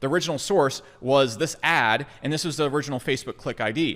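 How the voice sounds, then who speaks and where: A man talks at a fairly quick pace in a fairly high pitch, with an animated tone. The recording is very clean, with a silent background. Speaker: marketing entrepreneur, software founder. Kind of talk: tutorial explainer. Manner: fast.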